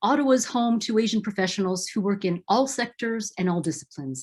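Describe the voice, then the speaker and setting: With lively intonation and a somewhat breathy voice, a woman speaks at a fairly quick pace against a quiet background. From Philippines. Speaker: event host. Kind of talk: event moderation. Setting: video call. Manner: formal.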